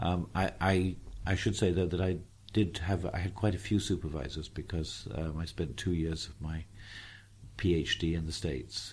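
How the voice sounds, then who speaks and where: A man with a very deep, low pitch and vocal fry speaks at a moderate pace with ordinary pitch variation. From southeast England, near Tunbridge Wells. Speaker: philosophy professor. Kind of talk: interview conversation. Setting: airport lounge. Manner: halting, many fillers and repetitions.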